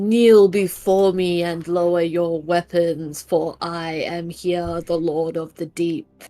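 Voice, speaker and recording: A booming, put-on character voice at a middle pitch moves at a very slow pace with hardly any pauses. Faint music plays in the background. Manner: commanding, intimidating.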